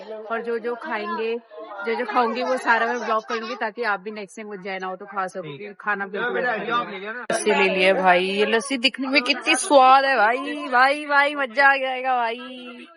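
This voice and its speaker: Through noticeable background noise, a woman with a fairly high pitch speaks with hardly any pauses and ordinary pitch variation. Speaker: travel vlogger. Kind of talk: casual travel vlog. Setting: outdoors in a market. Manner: speaking louder than usual; animated. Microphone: voice comes out too quiet.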